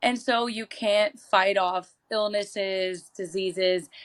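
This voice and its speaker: A woman at medium pitch speaks in an ordinary speaking voice on a very clean recording with a silent background. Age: 20s. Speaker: chronic illness advocate. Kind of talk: interview.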